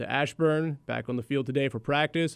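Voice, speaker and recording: In a very clean recording with a silent background, a man with an unremarkable speaking voice talks at a moderate pace and a fairly high pitch. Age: 30s. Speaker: sports radio host. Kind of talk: sports talk radio.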